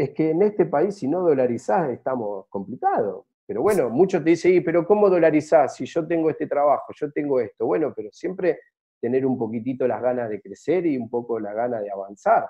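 A man talks at a fairly quick pace with fairly high pitch and very wide pitch swings. Behind him the background is quiet. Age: 40s. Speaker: travel business owner; interview guest. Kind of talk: interview. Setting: at home, remote. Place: home room. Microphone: video call.

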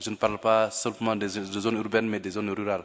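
A man talks at a moderate pace. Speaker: civil society leader; panelist. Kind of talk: formal panel speech. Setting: conference hall. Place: hall. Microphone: podium.

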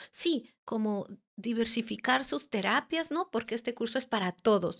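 A woman with a plain, everyday voice speaks at a fairly slow pace and fairly high pitch, the sound dry and close with no echo. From Mexico, Guerrero and Mexico City. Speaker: angel therapist and spiritual teacher. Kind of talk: personal testimony in interview.

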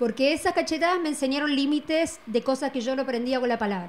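The woman's pitch is high, with ordinary pitch variation. She keeps a fairly quick pace. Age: 40s. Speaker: artist guest; guest. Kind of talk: casual chat. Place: studio. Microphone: handheld.

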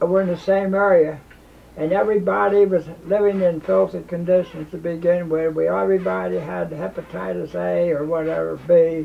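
Pitched high for a man, a man speaks at a moderate pace with ordinary pitch variation over light background noise. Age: 80s+. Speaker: war veteran. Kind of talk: oral history interview. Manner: halting. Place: home room.

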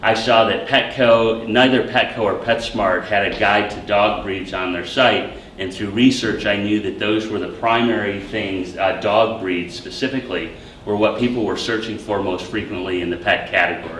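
A man talks at a moderate pace, with audible room echo and light background noise. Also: fairly low pitch for a man, hardly any pauses. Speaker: startup founder. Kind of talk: startup pitch and Q&A. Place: classroom. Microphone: camera far.

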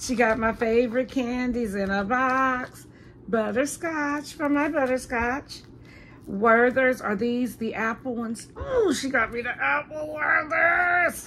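A woman with a high pitch, bright, sharp tone and ordinary pitch variation, at a fairly slow pace over light background noise. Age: 50s. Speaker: vlogger. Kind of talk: casual vlog. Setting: at home. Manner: animated. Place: home room. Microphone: phone near.

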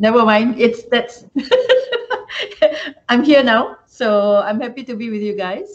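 Very slowly, a woman speaks. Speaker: university deputy vice-chancellor. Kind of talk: casual conversational chat. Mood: cheerful, slightly flustered. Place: office.

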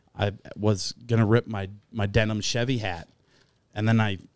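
A man talks at a fairly low pitch. The background is quiet and the sound is dry, with no echo. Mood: relaxed, joking. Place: studio. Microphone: studio mic.

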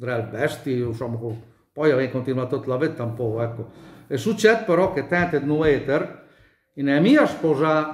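With a Bolognese accent, a fairly high-pitched man talks at a moderate pace in audible room echo over a quiet background. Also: ordinary pitch variation. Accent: mountain Bolognese dialect. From Bolognese Apennines, Gaggio Montano area; Bolognese Apennines, Italy. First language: Bolognese dialect (speaking Italian). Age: 70s. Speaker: dialect speaker interviewee; speaker. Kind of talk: interview. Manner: halting. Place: home room. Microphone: phone near.

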